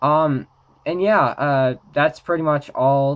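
Against a quiet background, a man speaks with a fairly high pitch and ordinary pitch variation. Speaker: trading card game YouTuber. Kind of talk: casual talk to camera. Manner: hesitant, many filler words. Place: home room.

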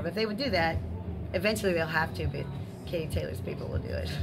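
The pace is very fast. Music plays in the background. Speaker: trainer. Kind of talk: interview answer. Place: gym.

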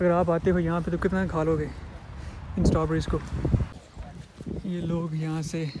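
Speaking at a fairly slow pace with long, frequent pauses, a man with a dark, mellow tone is heard over faint background noise.

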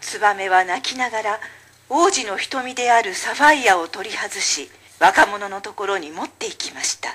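Someone reads in an unforced voice.

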